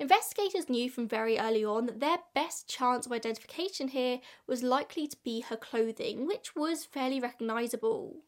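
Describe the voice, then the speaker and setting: On a very clean recording with a silent background, a woman speaks at a high pitch and a moderate pace with ordinary pitch variation. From England. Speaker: true crime podcaster and YouTuber. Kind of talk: true-crime narration. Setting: video channel audio adapted for podcast. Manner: measured, conversational storytelling; sincere, informative.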